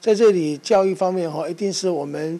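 Here a man speaks with a high pitch. His pace is moderate. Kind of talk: interview answer. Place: classroom. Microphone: handheld.

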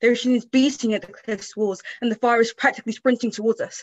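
A woman at a very fast pace, fairly even in intonation, over a quiet background. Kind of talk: dramatic spoken-word performance. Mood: dramatic, intense narration. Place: home room. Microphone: video call.

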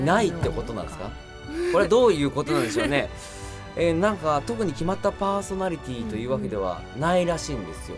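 At a very fast pace, a man speaks with clear music in the background. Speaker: voice actor. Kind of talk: casual radio-style talk. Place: studio. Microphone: studio mic.

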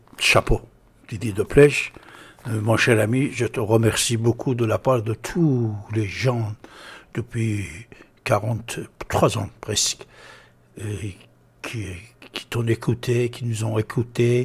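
Somewhat breathy, a man speaks at a very slow pace with long, frequent pauses. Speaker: radio show host. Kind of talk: radio show talk to listeners. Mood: grateful, sentimental. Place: studio. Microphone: studio mic.

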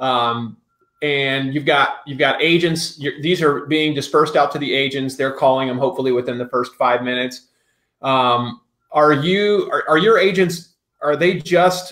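A normal speaking voice with an American accent, at a moderate pace with ordinary pitch variation. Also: man, fairly high pitch for a man. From Texas. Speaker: real estate broker and show host. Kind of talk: casual interview.

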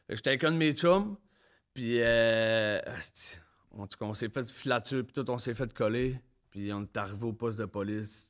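A man with a Quebec accent speaks at a fairly slow pace with ordinary pitch variation. The background is quiet. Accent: Quebec French, Saguenay. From Saguenay, Quebec. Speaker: guest, former violent offender; podcast guest. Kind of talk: casual interview, personal storytelling. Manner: informal, slangy, animated. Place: studio. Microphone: studio mic.

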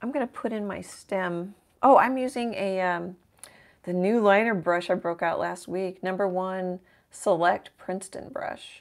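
With an American accent, a woman speaks at a moderate pace with ordinary pitch variation against a quiet background. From US Midwest, Lincoln, Nebraska; Nebraska. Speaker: art instructor. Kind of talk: painting tutorial livestream. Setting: home art studio, livestream. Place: studio.

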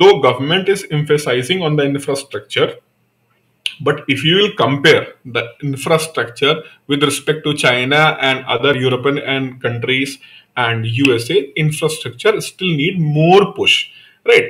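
In an Indian accent, a man speaks fairly slowly with a fairly high pitch, a bright, sharp tone and ordinary pitch variation. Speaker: online exam-prep teacher. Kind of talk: live online lecture. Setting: live video class. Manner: conversational, repetitive with frequent fillers. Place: home room. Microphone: webcam.

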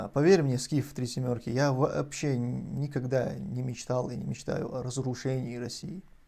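The pace is moderate with hardly any pauses. The tone is dark and mellow, the intonation fairly even. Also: man, medium pitch for a man. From Chechnya. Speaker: video blogger answering viewer donations; streamer answering donations. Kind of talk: livestream commentary and Q&A; live stream commentary. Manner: hesitant, frequent fillers.

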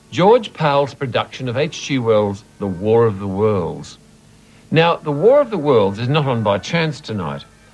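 A man at a medium pitch and fairly slow pace, with very wide pitch swings and music in the background. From Australia. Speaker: film presenter. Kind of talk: TV film introduction. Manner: enthusiastic. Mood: warm, enthusiastic. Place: studio.

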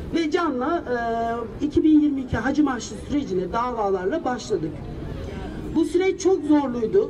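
Against noticeable background noise, a woman with a high pitch speaks with very wide pitch swings and long, frequent pauses. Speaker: local resident affected by the project. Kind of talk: rally speech. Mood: earnest, aggrieved. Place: street. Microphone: handheld.

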